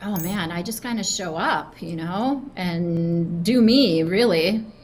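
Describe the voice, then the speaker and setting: A woman with a medium-pitched voice speaks at a very slow pace with ordinary pitch variation. Noticeable background noise and audible room echo fill the recording. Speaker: sales leader. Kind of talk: interview. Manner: casual, with many fillers.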